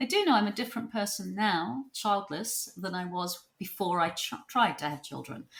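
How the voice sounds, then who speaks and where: Hardly pausing, a woman speaks at a moderate pace and medium pitch, her intonation lively and her voice marked by vocal fry. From New Zealand. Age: 60s. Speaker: psychotherapist and author. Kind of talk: podcast interview.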